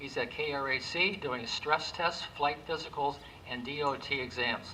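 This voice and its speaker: A man with a fairly high pitch and ordinary pitch variation speaks at a fairly slow pace against noticeable background noise. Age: 70s. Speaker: pastor. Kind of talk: award presentation speech. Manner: halting.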